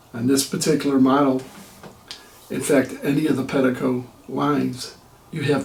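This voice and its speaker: A man speaks in a monotone, flat intonation with audible room echo. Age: 60s. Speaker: retired vlogger reviewing an e-bike. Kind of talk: casual product review vlog.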